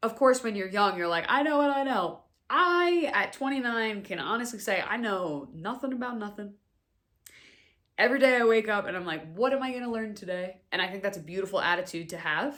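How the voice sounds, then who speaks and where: A woman with an American accent talks at a fairly quick pace and fairly high pitch, her tone animated and her intonation lively. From New York City (Staten Island). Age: 20s. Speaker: podcast host and wellness coach. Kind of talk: casual personal monologue.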